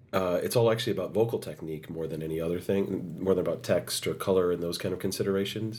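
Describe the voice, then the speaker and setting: Here a man speaks with an American accent and a raspy voice. His pitch is fairly low, with ordinary variation. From United States. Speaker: opera singer. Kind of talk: interview.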